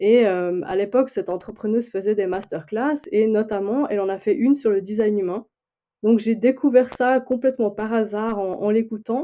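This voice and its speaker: A woman's fairly high voice with a slight Swiss French accent, ordinary pitch variation and a moderate pace. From Switzerland. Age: 40s. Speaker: human design coach and librarian. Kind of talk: podcast interview. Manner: hesitant, many fillers.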